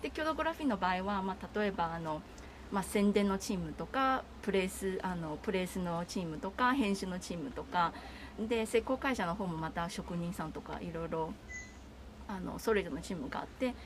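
A woman's somewhat breathy voice at medium pitch, with lively intonation and a moderate pace. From Taiwan. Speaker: art festival project manager. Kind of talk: casual interview.

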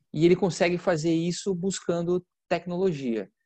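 A plain, everyday voice from a man at a moderate pace, with ordinary pitch variation and a dry, close sound with no echo over a quiet background. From Santa Catarina, southern Brazil (Campos Novos). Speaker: agricultural market consultant. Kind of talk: podcast interview.

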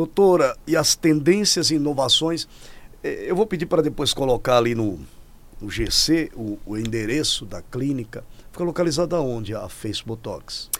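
A man speaks in a fairly high pitch with lively intonation. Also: moderate pace. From Rio Grande do Norte, Brazil. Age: 50s. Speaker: podcast host. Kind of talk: casual interview. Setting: studio. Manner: animated.

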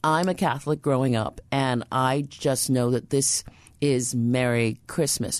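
A woman speaks with a New York accent in a very deep, low voice. Her pace is fairly slow and her loudness stays very even. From New York City, the Bronx. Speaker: radio host. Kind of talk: radio interview.

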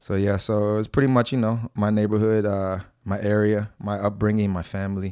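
With music in the background, a man with an American accent and a fairly low pitch talks at a fairly quick pace, the sound dry and close with no echo. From New Jersey, US East Coast (born Brooklyn). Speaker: jiu-jitsu instructor. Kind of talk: casual interview.

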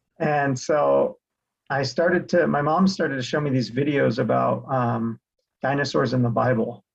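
A man with an American accent speaks in a somewhat breathy voice at a medium pitch. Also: ordinary pitch variation, moderate pace. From Utah (Salt Lake City area). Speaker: real estate investor, creation researcher. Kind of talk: interview conversation.

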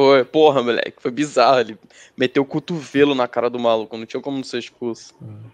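This is a plain, everyday voice moving at a fairly quick pace, its intonation fairly even but its loudness swinging widely. The sound is dry and close, with no echo. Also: man, medium pitch for a man. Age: 30s. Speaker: podcast co-host. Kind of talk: casual chat.

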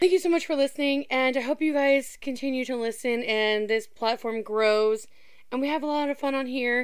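A woman with an American accent speaks in a high voice at a moderate pace, with ordinary pitch variation, in a very clean recording against a silent background. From southern Indiana. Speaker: podcaster and aquarium employee. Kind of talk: casual monologue.

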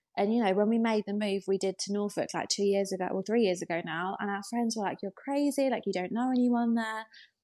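A woman with an English accent talks at a very fast pace and a medium pitch. The recording is very clean, with a silent background. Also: ordinary pitch variation, hardly any pauses. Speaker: interior designer and content creator. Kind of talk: casual chat.

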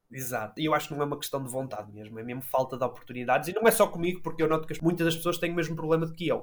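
A man's fairly high voice at a very fast pace, with ordinary pitch variation and hardly any pauses. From northern Portugal, Matosinhos near Porto. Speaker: young unemployed journalist. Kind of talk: interview.

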